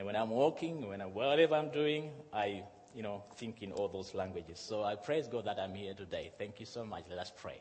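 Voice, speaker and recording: Audible room echo surrounds a man's voice. He talks fairly quickly at a fairly low pitch. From Zimbabwe and Malawi. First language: Shona / Chichewa. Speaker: pastor. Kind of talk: sermon. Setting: church.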